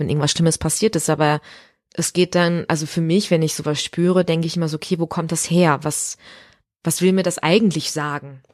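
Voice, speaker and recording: Recorded dry and close with no echo against a silent background in a very clean recording, a woman speaks at a moderate pace with a very deep, low pitch. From Ruhr area, Germany (Recklinghausen). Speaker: musical theatre performer. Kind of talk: casual interview. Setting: dressing room in an opera house.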